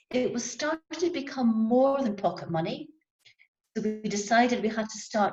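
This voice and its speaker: Lively intonation colors this woman's fairly high pitch, in a Scottish accent. Her pace is moderate. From Scotland. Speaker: handcraft business owner. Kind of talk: panel discussion.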